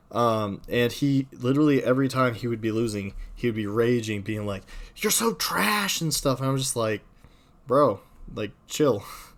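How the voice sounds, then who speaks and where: This man has a plain, everyday voice at medium pitch. He talks at a moderate pace with ordinary pitch variation. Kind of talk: casual chat.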